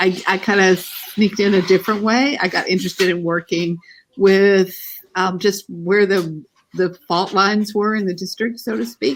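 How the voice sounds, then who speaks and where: With a Texas accent, a woman at a medium pitch speaks at a moderate pace with fairly even intonation. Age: old. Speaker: family therapist and university teacher. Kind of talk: casual interview chat.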